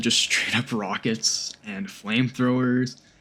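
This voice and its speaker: A man is speaking. Music plays in the background. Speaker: gaming youtuber. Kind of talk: game review commentary. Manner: casual.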